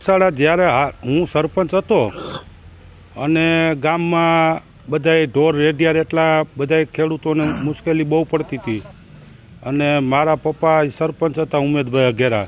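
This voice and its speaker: A plain, everyday voice from a man, fairly high in pitch with fairly even intonation. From Gujarat, Gondal area (Saurashtra). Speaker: former village head and cow shelter founder. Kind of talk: interview.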